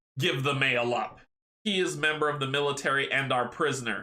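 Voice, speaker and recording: In a put-on character voice, a man speaks at a fairly quick pace with a fairly high pitch and fairly even intonation. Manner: stern.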